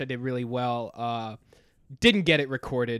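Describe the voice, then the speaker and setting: A man with an American accent talks at a moderate pace and medium pitch in a plain, everyday voice. The recording is very clean, with a silent background. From North Carolina. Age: 20s. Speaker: comedian. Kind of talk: casual chat.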